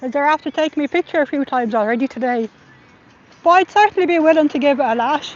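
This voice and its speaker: A woman with an Irish accent talks at a very fast pace, her pitch varying in an ordinary way. Noticeable background noise sits behind her. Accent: Irish, viewers remark on it. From Ireland. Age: middle-aged. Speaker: livestreamer and protester. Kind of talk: live stream commentary.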